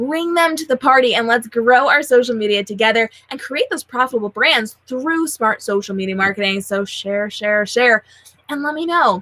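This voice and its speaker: The delivery is animated, with lively intonation. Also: woman, high pitch for a woman. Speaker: social media educator and show host. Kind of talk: live show outro. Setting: livestream. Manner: fast.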